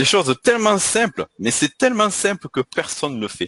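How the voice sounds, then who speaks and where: A man with a Toulouse accent and lively intonation, at a fairly quick pace, in a dry, close sound with no echo. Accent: southwestern French (Toulouse). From southwestern France, Toulouse. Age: 40s. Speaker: marketing coach. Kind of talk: online panel discussion.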